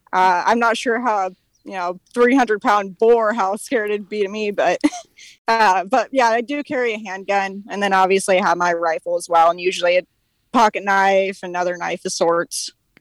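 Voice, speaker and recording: An American-accented woman with a normal speaking voice, medium pitch, ordinary pitch variation, a moderate pace and dry, close sound with no echo. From California. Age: 20s. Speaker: hunter. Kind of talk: casual chat. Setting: outdoors.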